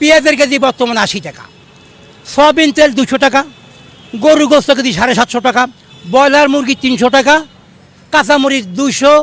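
This man's voice sits at an extremely high pitch. It varies in an ordinary way. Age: 70s. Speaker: freedom fighter veteran and rickshaw puller. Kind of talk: street interview complaint. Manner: animated.

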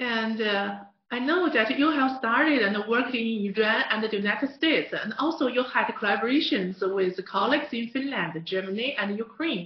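Against a quiet background with audible room echo, the speaker talks with a Mandarin accent. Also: moderate pace. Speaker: interview host. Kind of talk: scripted narration and interview. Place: studio.

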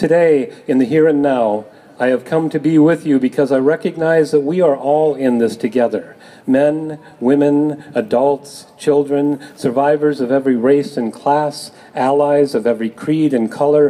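Speaking at a moderate pace, a man keeps a fairly even intonation and very even loudness. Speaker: speaker. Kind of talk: public reading at rally. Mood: solemn, earnest. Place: street. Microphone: camera far.

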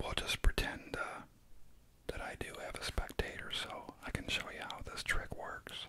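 Soft-spoken whispering at a moderate pace, a dry sound with no echo, and noticeable background noise. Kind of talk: tutorial. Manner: soft ASMR whisper.

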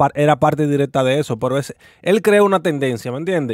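Against a quiet background, a man speaks at a very fast pace with ordinary pitch variation and a dry sound with no echo. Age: 20s. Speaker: youtuber reacting to clips. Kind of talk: casual commentary monologue. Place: home room. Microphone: studio mic.

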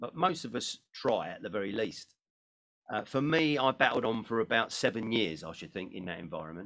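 Against a quiet background, a man speaks fairly quickly, his loudness swinging widely and his pitch swinging very widely. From United Kingdom. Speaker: motivational speaker. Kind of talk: seminar talk. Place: home room.

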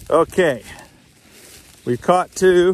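Loud background noise surrounds a man talking at a fairly slow pace, his voice dry with no echo. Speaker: fishing vlogger. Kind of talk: casual tutorial vlog chat. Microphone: phone near.

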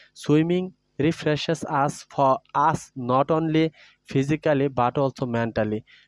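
A man's fairly high-pitched, ordinary speaking voice with fairly even intonation and very even loudness, dry and close with no echo, on a very clean recording with a silent background. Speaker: teacher. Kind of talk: reading aloud.

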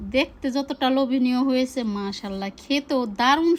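Here a woman talks in a high register. The variation in her pitch is ordinary. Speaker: cooking vlogger. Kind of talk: cooking tutorial. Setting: home kitchen with clay stove. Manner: casual, chatty.

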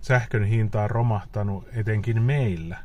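Speaking very slowly, a man's somewhat breathy voice keeps a fairly even intonation, the sound dry with no echo. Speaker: EV owner vlogger. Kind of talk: casual vlog chat. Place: car. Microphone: phone near.

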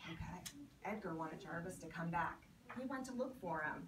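The pace is moderate and the intonation lively. Room echo can be heard. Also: woman, fairly low pitch for a woman.

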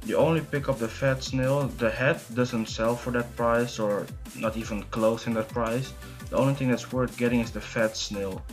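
Over music in the background, a man talks at a moderate pace with a medium pitch and fairly even intonation. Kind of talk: game guide commentary.

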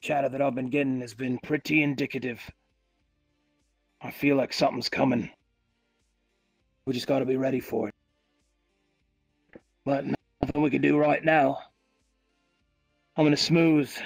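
A man's raspy, put-on character voice at medium pitch and moderate pace, with long, frequent pauses and music in the background. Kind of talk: in-character roleplay dialogue. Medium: machinima. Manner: relaxed, musing. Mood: wistful, wary.

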